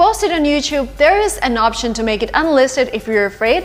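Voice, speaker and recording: Noticeable background noise sits behind the speaker. A woman with a Russian accent talks at a fairly quick pace. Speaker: YouTuber and English-learning coach. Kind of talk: vlog-style advice talk. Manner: animated, conversational.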